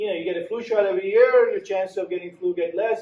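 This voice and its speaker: A man with fairly even intonation, set against audible room echo. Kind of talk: lecture. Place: meeting room. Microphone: camera far.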